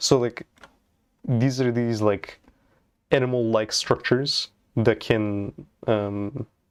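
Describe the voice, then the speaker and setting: Long, frequent pauses at a very slow pace from a man with a non-native accent, medium pitch and fairly even intonation. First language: not English. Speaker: programming live streamer. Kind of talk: live coding stream chat. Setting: live stream. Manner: casual, halting with many fillers.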